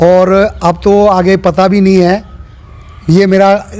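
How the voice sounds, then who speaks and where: This is a man speaking. His voice is high-pitched for a man. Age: 60s. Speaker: local election candidate. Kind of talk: interview.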